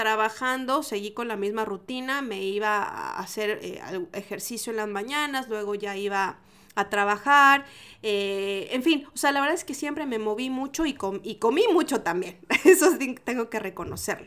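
A woman with a Mexican accent speaks fairly slowly at a fairly high pitch in an animated tone with lively intonation, recorded very cleanly against a silent background. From Mexico. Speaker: food podcast host and entrepreneur. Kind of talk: casual solo podcast monologue.

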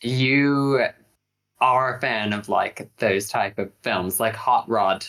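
This man talks at a very slow pace in a bright, sharp tone, his medium pitch moving with ordinary variation. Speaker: podcast co-host. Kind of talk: casual chat.

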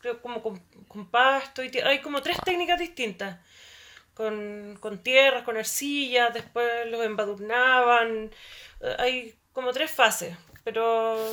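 A woman with a Chilean accent, fairly high pitch, and a bright, sharp tone, at a very slow pace with ordinary pitch variation and big swings in loudness, in a very clean recording with a silent background. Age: 40s. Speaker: anthropologist. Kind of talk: casual chat.

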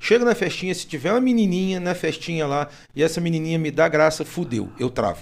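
On a very clean recording with a silent background, a man talks fairly quickly in a high voice with lively intonation. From Rio de Janeiro, Brazil. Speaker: podcast host. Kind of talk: casual chat.

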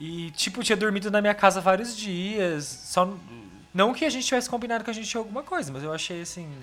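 Talking at a very fast pace, a man with a high pitch uses lively intonation and big swings in loudness, with noticeable background noise behind him. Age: 20s. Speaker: podcast guest. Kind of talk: casual chat.

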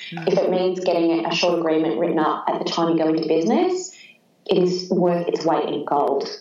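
A woman's fairly low voice, fairly quick and fairly even in intonation, with noticeable background noise. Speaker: lawyer and business owner. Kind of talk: casual interview chat.

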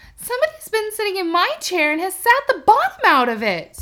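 A woman does a put-on character voice at an extremely high pitch with very wide swings. She talks at a fairly quick pace.

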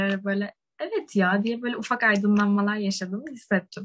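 At a fairly quick pace, a woman talks in a medium pitch with fairly even intonation, somewhat breathy. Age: young. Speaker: university student, podcast co-host. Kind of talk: casual chat.

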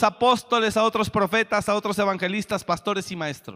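On a very clean recording with a silent background and a dry, close sound with no echo, a man raises and projects his high voice in a bright, sharp, animated tone. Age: 40s. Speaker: pastor. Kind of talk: sermon.

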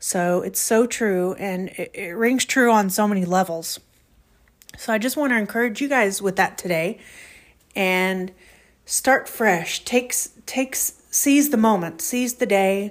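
At a fairly slow pace, a woman talks in a medium pitch with ordinary pitch variation, the recording very clean with a silent background. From Oklahoma, US. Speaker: podcast host. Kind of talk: motivational monologue. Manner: halting, with many fillers.

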